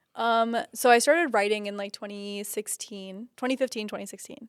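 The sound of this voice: A woman speaks at a medium pitch and a moderate pace with fairly even intonation and a clear, smooth tone, in a very clean recording with a silent background.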